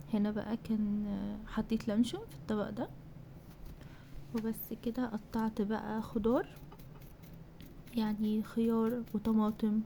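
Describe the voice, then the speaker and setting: A woman's fairly high voice with an Egyptian accent, monotone and flat in intonation, at a fairly slow pace. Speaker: cooking vlogger. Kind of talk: vlog voiceover.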